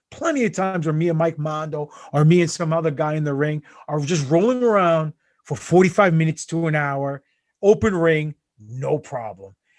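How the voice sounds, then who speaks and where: The background is quiet. A man talks with a fairly high pitch and ordinary pitch variation. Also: moderate pace. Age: 40s. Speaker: pro wrestler. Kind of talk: casual chat. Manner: animated.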